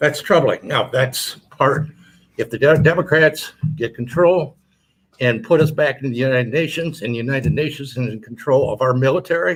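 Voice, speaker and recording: Somewhat breathy, this man's voice sits at a fairly high pitch. He speaks at a moderate pace. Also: ordinary pitch variation. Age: 70s. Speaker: military veteran. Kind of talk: panel discussion. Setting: studio. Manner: halting.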